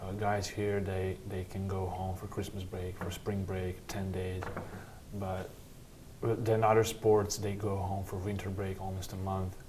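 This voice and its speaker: A man with a very deep, low pitch talks fairly slowly in a monotone, flat intonation, with audible room echo and noticeable background noise. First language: Serbian. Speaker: college basketball player. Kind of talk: interview. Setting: sit-down interview.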